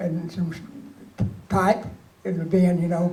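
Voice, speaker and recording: The delivery holds a moderate pace. The intonation stays monotone and flat. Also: man. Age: 80s+. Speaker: war veteran. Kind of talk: interview answer. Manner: casual storytelling.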